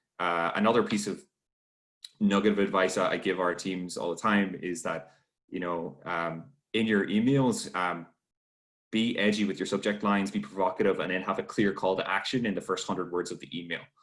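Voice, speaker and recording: A man's fairly low voice, fairly quick and fairly even in intonation. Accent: Irish. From Ireland. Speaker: webinar host and trainer. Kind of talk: online workshop Q&A. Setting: video call. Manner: halting, many fillers.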